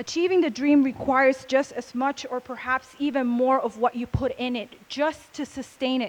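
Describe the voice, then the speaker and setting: Fairly even in intonation, a high-pitched woman speaks at a moderate pace with a Spanish accent. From Puerto Rico, west side. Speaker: speaker at a convention. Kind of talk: motivational talk.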